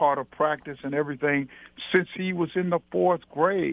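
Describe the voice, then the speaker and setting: A plain, everyday voice from a man, fairly even in intonation and moderate in pace. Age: 60s. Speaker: retired high school basketball coach. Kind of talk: interview. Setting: phone call.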